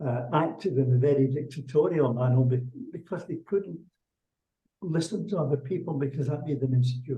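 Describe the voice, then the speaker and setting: A man's fairly high, somewhat breathy voice with a dark, mellow tone, fairly quick pace and ordinary pitch variation. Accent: Scottish. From Scotland. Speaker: executive leadership coach. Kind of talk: webinar Q&A interview.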